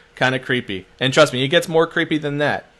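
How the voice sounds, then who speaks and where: Speaking at a fairly quick pace with a Philadelphia accent, a man uses a fairly high pitch, ordinary pitch variation and an animated, bright, sharp tone. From Philadelphia, US. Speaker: social media marketer. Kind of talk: webinar-style tutorial. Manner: fast.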